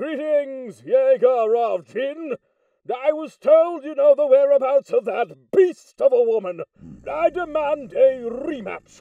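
In a put-on character voice, the delivery moves at a fairly slow pace. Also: man, extremely high pitch for a man. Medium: dub.

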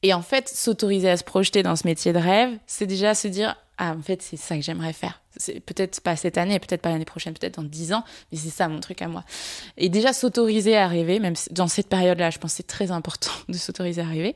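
Speaking at a very fast pace, a woman with a fairly low pitch and ordinary pitch variation is heard on a very clean recording with a silent background. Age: 20s. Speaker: communications director and entrepreneur. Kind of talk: interview conversation. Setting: at the host's home. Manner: energetic.

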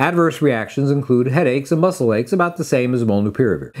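A man's intonation is lively, and the background stays quiet. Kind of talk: medical explainer to camera. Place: office. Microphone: lapel.

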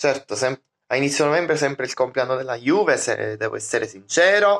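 A quiet background behind a man's voice. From Sicily. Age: 20s. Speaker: vlogger. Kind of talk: casual vlog monologue; casual vlog chat. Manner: halting. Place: home room. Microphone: phone near.

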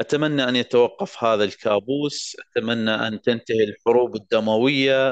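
Dry and close with no echo, a man's voice comes at a fairly slow pace and medium pitch, with fairly even intonation and hardly any pauses. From Iraq, Mosul. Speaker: war survivor and law graduate. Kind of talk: personal testimony speech.

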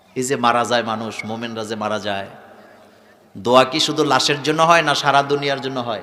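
With noticeable background noise and audible room echo, a man talks at medium pitch with ordinary pitch variation. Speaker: Islamic preacher. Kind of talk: sermon. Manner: animated.

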